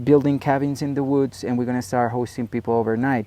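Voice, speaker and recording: A man with a Spanish accent. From Colombia, Medellín. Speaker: ranch owner and tourism entrepreneur. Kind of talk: interview conversation. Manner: halting, many fillers and repetitions.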